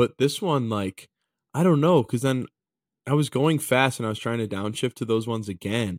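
Recorded very cleanly against a silent background, a man speaks in a plain, everyday voice at medium pitch, with ordinary pitch variation and a moderate pace. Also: dry, close sound with no echo. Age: 20s. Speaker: hockey podcast co-host. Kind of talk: casual chat.

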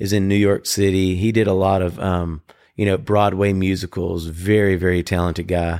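Over a very clean recording with a silent background, a man with a Southern US accent speaks at a moderate pace in a very deep, low pitch, his intonation monotone and flat and his loudness very even. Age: 40s. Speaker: podcast co-host. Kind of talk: casual chat.

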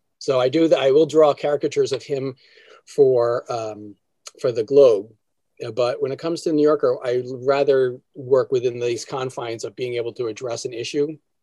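In an American accent, the speaker talks at a moderate pace with fairly even intonation and a dark, mellow tone. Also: man, medium pitch for a man. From New Jersey. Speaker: cartoonist. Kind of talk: interview.

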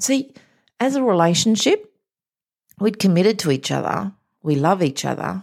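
At a moderate pace and medium pitch, a woman's voice swings very widely in pitch, with long, frequent pauses. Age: 50s. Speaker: mindset coach. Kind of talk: motivational monologue.

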